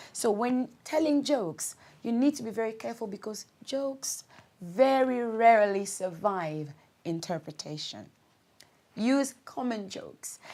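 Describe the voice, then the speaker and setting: A woman with a Congolese accent and a dark, mellow tone speaks at a fairly high pitch and fairly slow pace with lively intonation. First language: Lingala. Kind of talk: instructional talk.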